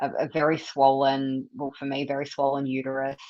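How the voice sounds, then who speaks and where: With an Australian accent, a woman talks at a moderate pace in a very deep, low pitch. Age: 40s. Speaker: carnivore diet advocate, nutrition student. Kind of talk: casual livestream interview. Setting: livestream video call.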